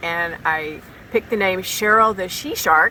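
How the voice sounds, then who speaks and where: A woman speaks at a fairly low pitch. There is noticeable background noise. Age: 60s. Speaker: recreational tiger shark diver. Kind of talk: interview.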